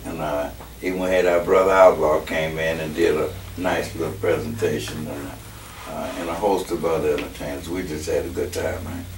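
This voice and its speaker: A man with a very deep, low pitch talks at a moderate pace. Noticeable background noise and audible room echo surround him. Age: 70s. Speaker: horn arranger and musician. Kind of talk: casual interview. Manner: relaxed, hesitant with many fillers.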